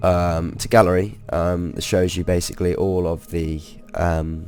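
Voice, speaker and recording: A man with a very deep, low pitch talks while music plays in the background. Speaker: gamer. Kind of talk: game tutorial narration. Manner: hesitant, many fillers.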